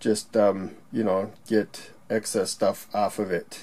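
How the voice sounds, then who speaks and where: A man talks over a quiet background. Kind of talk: tutorial. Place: workshop.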